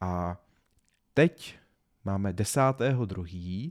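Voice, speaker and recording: This very clean recording, with a silent background and a dry, close sound free of echo, captures a man with lively intonation. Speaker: podcast host and business trainer. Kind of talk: solo podcast monologue. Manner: halting, stumbling over words. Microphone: new high-quality podcast microphone.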